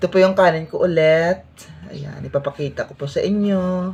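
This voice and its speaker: Somewhat breathy and fairly low in pitch, a woman speaks at a moderate pace. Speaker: vlogger. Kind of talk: casual eating vlog.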